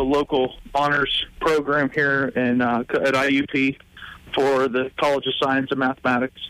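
In an unremarkable speaking voice, a man with an American accent talks at a fairly slow pace and a fairly high pitch, the sound dry and close with no echo. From Pittsburgh area, Pennsylvania. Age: 30s. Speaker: brewery owner. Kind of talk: interview.

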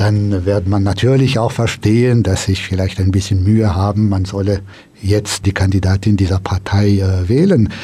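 The man's fairly low voice has a dark, mellow tone, somewhat breathy, with very even loudness and fairly even intonation. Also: moderate pace. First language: French (speaking German). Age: 50s. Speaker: politician. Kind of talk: radio interview. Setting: studio.

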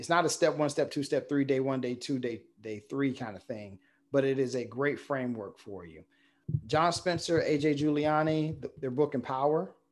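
A man with a plain, everyday voice speaks at a moderate pace and fairly high pitch with ordinary pitch variation, over a quiet background. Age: 50s. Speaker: middle school principal. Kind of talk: interview.

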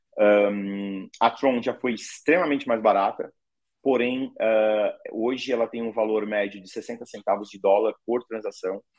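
A medium-pitched man at a fairly slow pace, with big swings in loudness. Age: 50s. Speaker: crypto payments company CEO. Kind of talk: interview. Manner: animated.

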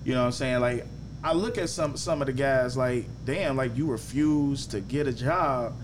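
A man with an American accent and an ordinary speaking voice, medium pitch, ordinary pitch variation, moderate pace and very even loudness. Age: 30s. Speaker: podcast host, barber. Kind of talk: casual chat.

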